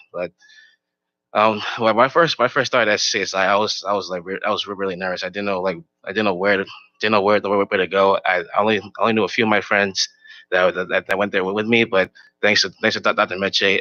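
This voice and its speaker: This man speaks at a very fast pace. His intonation stays fairly even. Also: fairly low pitch for a man. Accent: American. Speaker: college graduate honoree. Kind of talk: acceptance speech. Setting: stage with audience. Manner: halting.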